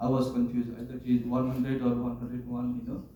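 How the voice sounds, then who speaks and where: Noticeable background noise accompanies the recording. A man's voice carries audible room echo. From Nepal. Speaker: first aid trainer. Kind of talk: training class.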